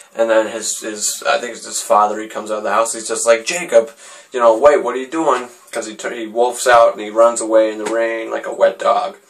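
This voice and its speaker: Over noticeable background noise, a man speaks at a fairly quick pace in a medium pitch, with ordinary pitch variation and big swings in loudness. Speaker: movie reviewer. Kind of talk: casual movie review. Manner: halting, many fillers and restarts.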